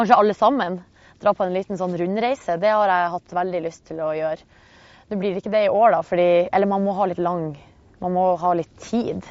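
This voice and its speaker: A woman with a plain, everyday voice talks at a fairly quick pace, with medium pitch and fairly even intonation. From Northern Norway (Hamarøy). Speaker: radio host. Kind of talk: casual chat. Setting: outdoors.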